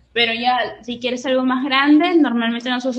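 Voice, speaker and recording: A woman talks at a high pitch. Noticeable background noise is present. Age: 20s. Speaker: lettering artist and entrepreneur. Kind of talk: interview.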